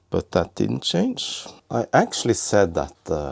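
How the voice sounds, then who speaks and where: This man speaks at a moderate pace with vocal fry, and the sound is dry and close with no echo. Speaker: retro computer repair youtuber. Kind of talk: tutorial. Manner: halting.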